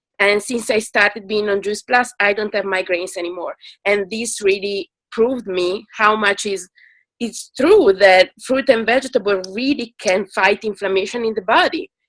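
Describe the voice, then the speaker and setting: A woman speaks with a strong Italian accent. The sound is dry and close, with no echo. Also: medium pitch for a woman, ordinary pitch variation, moderate pace. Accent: thick Italian. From Italy. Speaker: product customer. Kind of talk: testimony.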